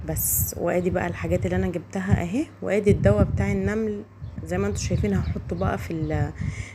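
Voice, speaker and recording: The speaker talks at a fairly quick pace in an Egyptian accent. Noticeable background noise is present. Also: woman. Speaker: home lifestyle vlogger. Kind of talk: casual vlog narration. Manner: halting.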